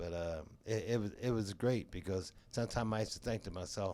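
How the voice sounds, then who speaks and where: The recording is very clean, with a silent background. The tone is dark and mellow, delivered at a fairly quick pace with ordinary pitch variation. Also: man. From Pittsburgh. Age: 70s. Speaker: jazz drummer. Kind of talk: interview. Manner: halting.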